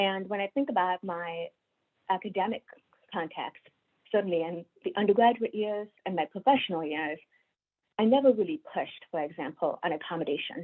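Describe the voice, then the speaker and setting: A woman's medium-pitched voice with an American accent, lively intonation and a fairly quick pace. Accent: deaf Indian American. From India. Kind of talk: webinar talk. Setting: video call.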